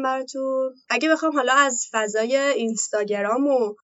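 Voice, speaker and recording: The voice belongs to a woman. Her intonation is fairly even. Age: 20s. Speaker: Instagram influencer and office employee. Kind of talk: interview. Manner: halting.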